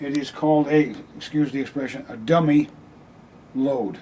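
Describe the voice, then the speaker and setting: At a moderate pace, a man speaks in a dark, mellow tone at a fairly high pitch. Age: 70s. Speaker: amateur radio operator. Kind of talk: equipment walkthrough; radio contact. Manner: halting.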